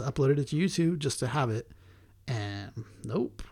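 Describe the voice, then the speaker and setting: A man speaks somewhat breathily. The recording is very clean, with a silent background. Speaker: podcast co-host. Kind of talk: casual chat.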